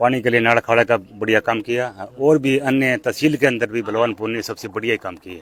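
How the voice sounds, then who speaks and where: This man has an unremarkable speaking voice, medium in pitch, moving at a moderate pace with fairly even intonation and hardly any pauses. The sound is dry and close with no echo. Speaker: farmer. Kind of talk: street interview.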